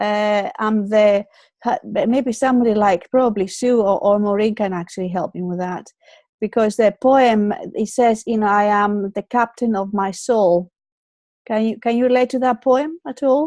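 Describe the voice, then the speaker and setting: A woman with a Greek accent speaks at a moderate pace, her pitch fairly high and her tone dark and mellow, with ordinary pitch variation. The sound is dry and close with no echo, over a quiet background. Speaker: online show host. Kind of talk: casual chat. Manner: halting, many fillers and repeats.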